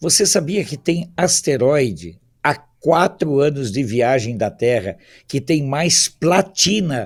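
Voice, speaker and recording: Heard on a very clean recording with a silent background, a man with a fairly high pitch and vocal fry swings very widely in pitch. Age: 60s. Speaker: political commentator. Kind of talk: talk show discussion.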